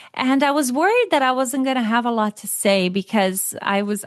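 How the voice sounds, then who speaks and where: Against a quiet background, a woman with a Brazilian accent talks at a moderate pace with ordinary pitch variation, the sound dry and close with no echo. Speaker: author and cycling advocate. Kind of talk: interview conversation.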